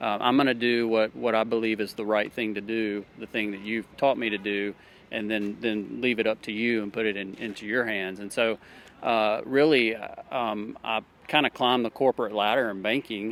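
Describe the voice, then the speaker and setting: A Southern US accent, monotone and flat, at a moderate pace. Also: man, fairly low pitch for a man. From Alabama. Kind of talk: street interview. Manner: hesitant, many fillers.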